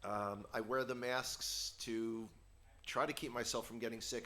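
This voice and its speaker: A man with a New York accent talks at a fairly quick pace in a flat, monotone intonation, his tone bright and sharp against audible room echo. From New York, the Bronx. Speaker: guest teacher. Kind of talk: sermon.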